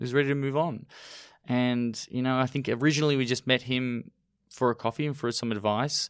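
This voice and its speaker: With an Australian accent, a man speaks at a medium pitch on a very clean recording with a silent background. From Australia, Melbourne. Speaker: restaurateur, cafe founder. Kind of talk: interview.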